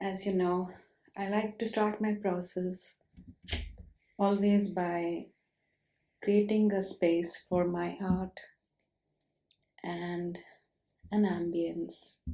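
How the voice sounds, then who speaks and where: Soft-spoken and dark, mellow in tone, a woman of medium pitch speaks at a very slow pace in a monotone, flat intonation, with long, frequent pauses. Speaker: ASMR artist. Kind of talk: ASMR soft-spoken art narration.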